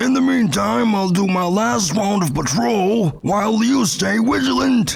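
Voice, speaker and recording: A put-on character voice from a man, high-pitched and at a moderate pace. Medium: audio drama. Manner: excitable, suspicious.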